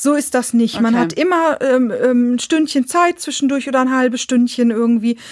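Speaking at a moderate pace with hardly any pauses, a woman keeps a very even loudness, her high pitch showing ordinary variation. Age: 40s. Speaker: psychiatric patient sharing experience. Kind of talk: interview.

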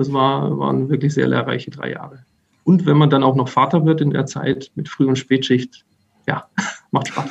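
A man's medium-pitched voice, moderate in pace, with monotone, flat intonation. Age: 30s. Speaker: safety engineer. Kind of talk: interview. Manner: halting.

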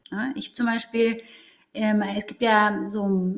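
A woman speaks at a very slow pace in a fairly high pitch. Noticeable background noise runs behind her. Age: 30s. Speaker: psychologist working in HR. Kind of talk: interview.

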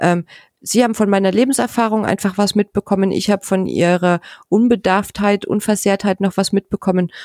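In a dry, close recording with no echo, a woman with a normal speaking voice talks at medium pitch and a fairly quick pace with fairly even intonation. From former East Germany. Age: 40s. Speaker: pediatric nurse. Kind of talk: casual chat.

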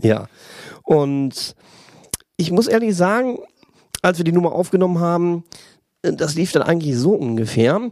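Long, frequent pauses interrupt speech that otherwise goes at a moderate pace. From Lower Rhine, Germany near Dutch border. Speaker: driving instructor and schlager party organizer. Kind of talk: casual chat.

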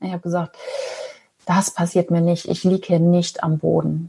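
A woman talks at a fairly quick pace in a fairly low voice with monotone, flat intonation. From northern Germany, Ostholstein. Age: 40s. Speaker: former pharma sales rep turned traveller and podcaster. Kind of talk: interview.

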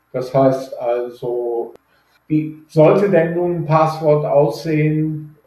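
Against audible room echo, a man speaks very slowly in a fairly high, dark and mellow voice with fairly even intonation. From Germany, Rhineland (Düsseldorf, Neuss). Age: 60s. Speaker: data protection expert. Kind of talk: interview.

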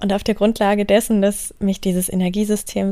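A woman speaks in a calm, dark, mellow tone at medium pitch, her intonation monotone and flat. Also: very clean recording, silent background. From northern Germany, Wendland (Lower Saxony). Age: 20s. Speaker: spiritual coach and podcast host. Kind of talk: podcast monologue.

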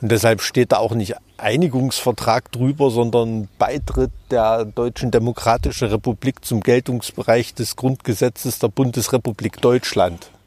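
With a Thuringian accent, a man speaks at a moderate pace. His intonation is fairly even, in a very clean recording with a silent background. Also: medium pitch for a man, hardly any pauses. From Thuringia, eastern Germany. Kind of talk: casual interview.

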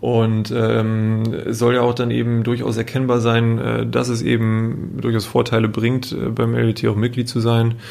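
In a room with audible echo, a man speaks at a medium pitch and fairly slow pace, with monotone, flat intonation, very even loudness and hardly any pauses. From northern Germany, Emsland (Meppen). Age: 30s. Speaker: business association manager. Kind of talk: interview. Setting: office.

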